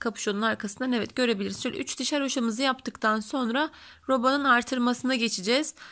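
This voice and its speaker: In a very clean recording with a silent background, a woman with a high pitch and a bright, sharp tone speaks at a fairly quick pace with ordinary pitch variation. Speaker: knitting tutorial creator. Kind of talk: tutorial.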